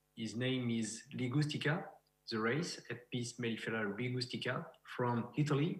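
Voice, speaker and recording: Amid audible room echo, a man with a French accent speaks at a moderate pace and medium pitch, somewhat breathy, with ordinary pitch variation. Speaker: beekeeper and researcher. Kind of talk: lecture. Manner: halting.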